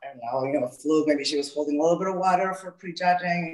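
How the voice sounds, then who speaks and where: A woman with a Salvadoran accent talks at a very fast pace. Her pitch is fairly low, and noticeable background noise is present. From El Salvador. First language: Spanish. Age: 40s. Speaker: gym owner and fitness coach. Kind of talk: interview.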